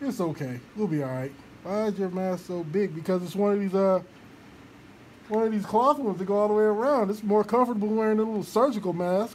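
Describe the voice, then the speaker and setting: Very fast speech from a man, high-pitched for a man, with ordinary pitch variation. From Georgia (US South). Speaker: online radio show host. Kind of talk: casual live-stream chat. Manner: animated.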